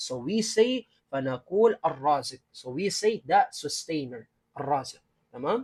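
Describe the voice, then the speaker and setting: A man's pitch swings very widely as he talks fairly slowly. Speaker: Islamic studies instructor. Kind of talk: religious lecture.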